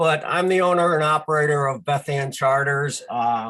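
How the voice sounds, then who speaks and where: A man has an unremarkable speaking voice. He talks at a fairly slow pace with ordinary pitch variation. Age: 60s. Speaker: charter boat owner. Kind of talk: casual talk. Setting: video call.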